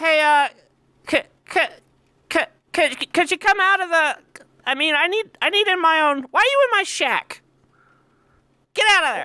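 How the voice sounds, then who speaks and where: A squeaky put-on character voice at an extremely high pitch, moderate in pace, with long, frequent pauses. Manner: flustered, stammering.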